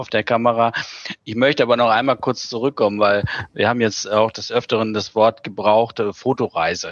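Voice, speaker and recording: A man talks in a plain, everyday voice at a medium pitch and moderate pace. His intonation is fairly even, and the sound is dry and close with no echo. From Germany, near Bielefeld. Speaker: graphic designer. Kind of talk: interview.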